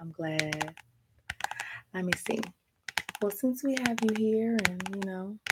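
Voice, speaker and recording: A woman's gentle tone with lively intonation and long, frequent pauses. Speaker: ASMR creator and author. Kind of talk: whispered ASMR book reading for sleep. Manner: soft, gentle, relaxing.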